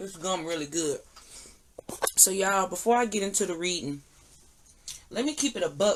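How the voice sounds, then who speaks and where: A put-on character voice, raspy and mid-pitched, moves at a moderate pace with long, frequent pauses. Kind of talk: casual, colloquial. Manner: chewing gum, smacking.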